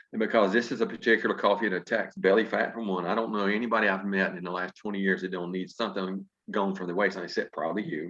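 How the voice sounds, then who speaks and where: A man with a fairly low pitch talks at a very fast pace. He leaves hardly any pauses. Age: 60s. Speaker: company executive presenting products. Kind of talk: sales pitch. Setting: video call. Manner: animated.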